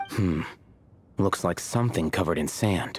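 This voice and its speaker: A man puts on a character voice, growling at a very deep, low pitch. His delivery is deadpan and moves at a moderate pace. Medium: video game. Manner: deadpan, terse.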